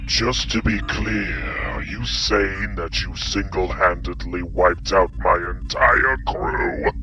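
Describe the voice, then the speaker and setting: A man's put-on character voice at a fairly slow pace, with hardly any pauses, over loud background noise. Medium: machinima. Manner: arrogant, taunting.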